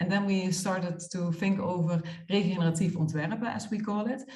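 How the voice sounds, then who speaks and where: At a moderate pace, a woman with a Dutch accent speaks in a fairly low pitch with fairly even intonation. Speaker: architect. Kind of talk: conference talk. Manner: halting, many fillers.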